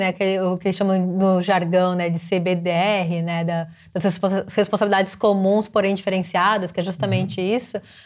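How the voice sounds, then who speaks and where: Moderately paced, a woman speaks in a plain, everyday voice at a medium pitch. The recording is very clean with a silent background. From Brazil. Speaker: climate social entrepreneur. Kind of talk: interview.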